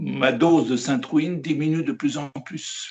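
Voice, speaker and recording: Speaking at a very slow pace, a man with a fairly high pitch makes very wide pitch swings. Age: 70s. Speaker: raw vegan interviewee. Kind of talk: interview. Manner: halting.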